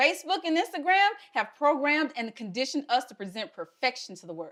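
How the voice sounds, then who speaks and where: A woman talks at a fairly quick pace with a Southern US accent. Her pitch swings very widely. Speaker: health equity fellow, speaker. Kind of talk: prepared talk.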